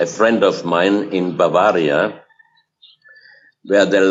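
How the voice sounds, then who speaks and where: In a non-native accent, a man speaks at a very slow pace with fairly low pitch and fairly even intonation. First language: German. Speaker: researcher of hidden history. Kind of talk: interview. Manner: halting, many fillers.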